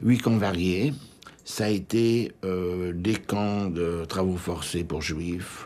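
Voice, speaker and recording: A man with a very deep, low pitch speaks at a very slow pace with ordinary pitch variation. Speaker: Holocaust survivor, former deportee. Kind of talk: testimony.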